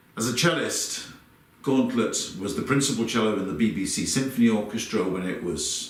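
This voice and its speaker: Moderately paced male speech amid audible room echo and noticeable background noise. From London, England. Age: 60s. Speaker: conductor. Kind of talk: personal reminiscence.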